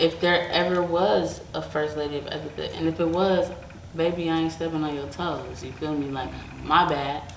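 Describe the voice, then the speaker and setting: Noticeable background noise and audible room echo fill the recording. The speech moves at a moderate pace with fairly even intonation. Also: woman, very deep, low pitch for a woman. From Detroit, Michigan, then raised in Las Vegas. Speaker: rapper. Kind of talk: interview.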